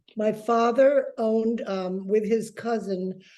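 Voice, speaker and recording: The voice belongs to a woman and has a dark, mellow tone. Her intonation stays fairly even. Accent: American. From New York City. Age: 80s+. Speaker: interviewee recalling jazz era. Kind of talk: casual interview.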